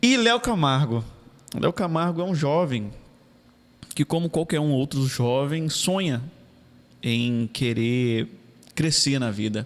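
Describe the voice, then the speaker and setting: Speaking very slowly, a man leaves long, frequent pauses. His voice is fairly high, with lively intonation. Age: 30s. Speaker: city councillor. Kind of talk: casual interview.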